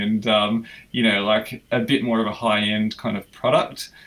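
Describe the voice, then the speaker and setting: A man's medium-pitched, monotone, flat voice with an Australian accent. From Australia (Melbourne). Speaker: filmmaker. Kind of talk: casual interview.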